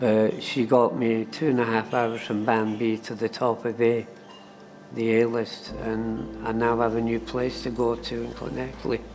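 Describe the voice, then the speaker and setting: Over music in the background, a man with an Edinburgh accent talks at a fairly slow pace. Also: medium pitch for a man, fairly even intonation. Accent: Scottish (Edinburgh). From Edinburgh, Scotland. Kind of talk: documentary interview answer.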